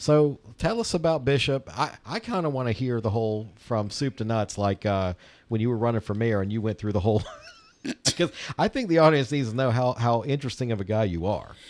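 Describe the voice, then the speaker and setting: Here a man talks fairly quickly with an American accent. He has a plain, everyday voice. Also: medium pitch for a man, ordinary pitch variation. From New York City. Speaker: talk radio host. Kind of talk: casual chat. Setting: radio studio.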